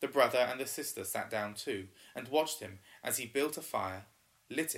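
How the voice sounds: Reading in a natural voice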